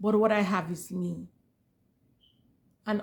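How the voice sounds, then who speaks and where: This woman sounds somewhat breathy. Her tone is animated. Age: 40s. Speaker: YouTuber. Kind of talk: motivational talk to camera. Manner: animated, emphatic with repetitions.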